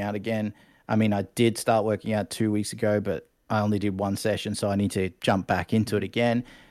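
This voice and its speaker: The recording is very clean, with a silent background. A man with an Australian accent talks fairly quickly at a fairly low pitch. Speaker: Twitch streamer and martial arts coach. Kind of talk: casual interview chat. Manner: animated.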